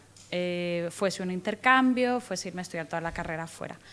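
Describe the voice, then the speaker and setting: Her pitch rests in the medium range. The woman keeps a fairly quick pace. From Guatemala. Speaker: in-house lawyer. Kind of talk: interview.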